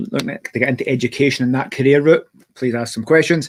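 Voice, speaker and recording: Someone talks at a very fast pace in a Glaswegian accent. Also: man. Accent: Glaswegian Scottish. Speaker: podcast host. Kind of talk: interview. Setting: live stream.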